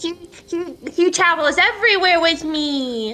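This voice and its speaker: An extremely high-pitched, put-on character voice at a fairly slow pace. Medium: actual play.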